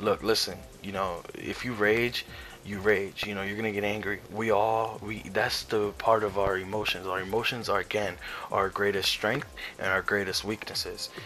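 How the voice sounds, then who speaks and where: Over noticeable background noise, someone speaks at a moderate pace with fairly even intonation. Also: man, fairly low pitch for a man. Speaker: gaming YouTuber. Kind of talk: casual commentary. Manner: halting, many fillers.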